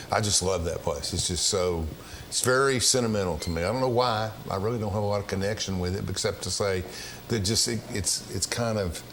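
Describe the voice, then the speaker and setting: A man with an Appalachian accent talks fairly quickly at a fairly low pitch with ordinary pitch variation, amid noticeable background noise and audible room echo. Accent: Southern US (Appalachian). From East Tennessee. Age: 60s. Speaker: talk show host. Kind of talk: casual interview chat.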